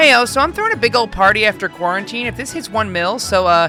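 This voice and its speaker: A woman talks very fast at a medium pitch, her voice swinging very widely up and down over background music. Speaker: voice actor. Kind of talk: comedic narration of social media posts.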